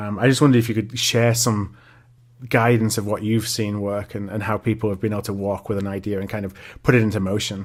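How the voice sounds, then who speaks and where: A man talks at a very fast pace in a fairly low pitch, with monotone, flat intonation. The recording is very clean, with a silent background. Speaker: podcast host. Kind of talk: interview.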